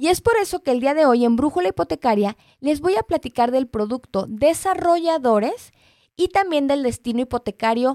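A dark, mellow voice whose pitch swings very widely. Loudness stays very even, and the sound is dry and close with no echo. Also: woman, very clean recording, silent background. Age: 30s. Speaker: radio host, mortgage specialist. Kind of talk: live radio talk show. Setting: radio studio.

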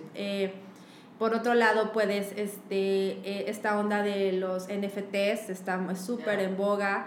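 Amid noticeable background noise and audible room echo, a woman speaks at a very slow pace and a medium pitch. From Mexico City. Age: 30s. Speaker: illustrator. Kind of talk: casual chat. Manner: animated.

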